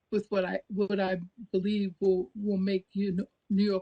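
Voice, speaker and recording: A somewhat breathy woman's voice at medium pitch, with a dry, close sound and no echo. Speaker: advisory board member. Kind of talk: formal introduction at public meeting. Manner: halting with many fillers.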